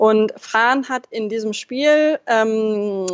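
Fairly high in pitch, the woman's voice keeps a fairly even intonation. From Lower Saxony, Germany (Braunschweig). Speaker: football fan and club supporting member. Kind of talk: casual chat.

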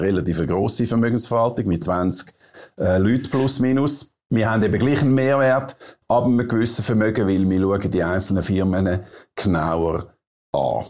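At a moderate pace, a man with a Swiss accent talks with ordinary pitch variation. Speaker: interviewer. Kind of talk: interview.

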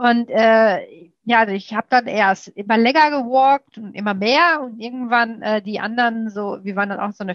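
The speaker has a slight Ruhr accent and ordinary pitch variation. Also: woman. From Ruhr area, Germany. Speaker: guest, lipedema patient and amateur triathlete. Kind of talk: casual interview chat.

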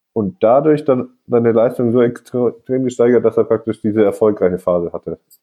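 Music plays in the background. A man speaks at a moderate pace with a medium pitch. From northern Germany. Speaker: podcast host. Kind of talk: casual chat. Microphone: recorded on phones, scratchy audio.

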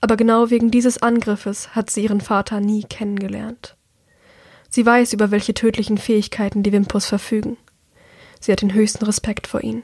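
At a fairly quick pace, a woman with a fairly high pitch speaks in a somewhat breathy voice with monotone, flat intonation. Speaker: audiobook podcast narrator. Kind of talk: reading aloud.

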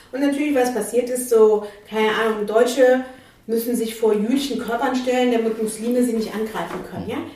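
Over noticeable background noise, a woman with a fairly high pitch speaks at a fairly quick pace in a monotone, flat intonation. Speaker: activist and legal scholar. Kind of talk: angry rant. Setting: studio. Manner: angry, emphatic, hammering rhetorical questions.

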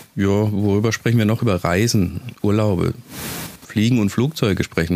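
Noticeable background noise accompanies a man speaking in a Swabian accent. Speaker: podcast host. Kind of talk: casual monologue.

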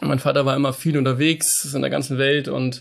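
At a moderate pace, a man speaks in a flat monotone at a fairly high pitch. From northern Germany, Hamburg. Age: 30s. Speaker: business owner. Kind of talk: interview. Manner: halting, many fillers.

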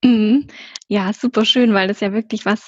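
A somewhat breathy woman's voice, fairly high in pitch with fairly even intonation, in a dry, close sound with no echo. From Swabia, southern Germany. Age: 20s. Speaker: travel agency consultant. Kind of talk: interview about travel.

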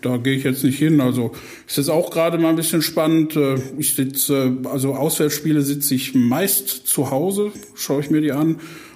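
The speaker keeps a moderate pace and fairly even intonation. Room echo is audible, along with noticeable background noise. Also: man, fairly high pitch for a man. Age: 40s. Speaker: football club fan liaison officer. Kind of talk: podcast interview.

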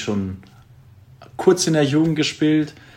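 A man is talking. The pitch moves in an ordinary way. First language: Greek (speaking German). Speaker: handball player. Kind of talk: casual interview. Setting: video call.

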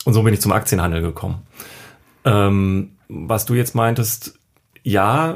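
This man's voice sits fairly low and sounds somewhat breathy. He talks at a fairly slow pace. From Düsseldorf, Germany. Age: 30s. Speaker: day trader. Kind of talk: casual interview. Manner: hesitant, many fillers.

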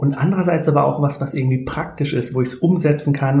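A man speaks in a dark, mellow tone that is somewhat breathy, with audible room echo. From Germany, near Speyer (Palatinate). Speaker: human design coach. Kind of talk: podcast interview.

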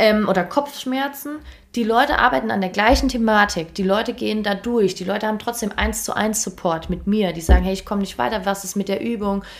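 Her pitch medium and ordinary in variation, a woman speaks at a fairly quick pace with vocal fry. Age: 20s. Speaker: performance coach. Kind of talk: casual interview. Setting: in person in an office.

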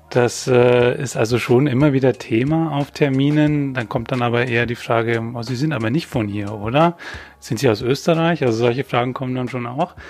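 With noticeable background noise behind him, a man speaks at a moderate pace and medium pitch with fairly even intonation. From Bavaria, Upper Palatinate (Weiden). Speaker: trainee journalist. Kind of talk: casual chat. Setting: studio.

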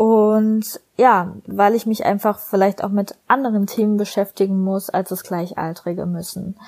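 In an unremarkable speaking voice, a woman talks at a medium pitch with fairly even intonation. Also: fairly slow pace, hardly any pauses. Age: 20s. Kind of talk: recorded personal statement. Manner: scripted, read-aloud style.

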